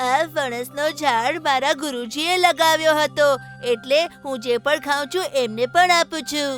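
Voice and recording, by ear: A cartoonish character voice at a fairly slow pace, with clear music in the background.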